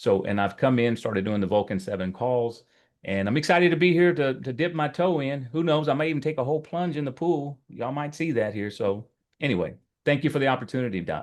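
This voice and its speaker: With a Texas accent, a man speaks at a very fast pace with lively intonation. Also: medium pitch for a man. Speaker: real estate agent. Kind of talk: self-introduction on video call.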